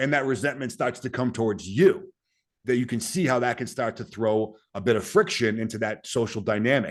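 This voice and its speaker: Against a quiet background, a man with a Boston accent talks at a fairly quick pace with ordinary pitch variation. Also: medium pitch for a man. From US Northeast, Boston. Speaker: Green Beret soldier and author. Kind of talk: podcast interview.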